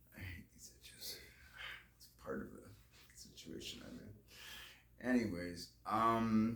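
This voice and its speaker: A man talking at a very slow pace amid audible room echo. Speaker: vlogger. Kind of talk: casual vlog monologue. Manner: halting.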